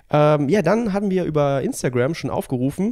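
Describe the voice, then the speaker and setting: A man's dark, mellow voice at a moderate pace. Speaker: triathlon coach and podcast host. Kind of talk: casual chat. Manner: soft-spoken. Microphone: too quiet, level turned up.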